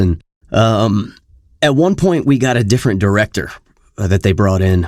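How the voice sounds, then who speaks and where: A man with a plain, everyday voice speaks at a moderate pace. His pitch is fairly low, and the recording is very clean with a silent background. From US South, Louisiana. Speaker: voice actor. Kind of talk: interview. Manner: casual.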